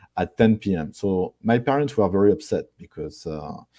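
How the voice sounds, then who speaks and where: Speaking with a French accent, a man has a dark, mellow tone. The sound is dry and close, with no echo. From France. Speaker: marketing executive. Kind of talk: interview. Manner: halting.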